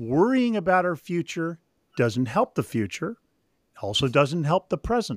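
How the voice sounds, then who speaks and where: A man with an American accent speaks in a high voice at a fairly slow pace, his pitch swinging very widely. The recording is very clean and dry, close with no echo against a silent background. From Northern California. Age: 60s. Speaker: author and spiritual director. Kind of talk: interview.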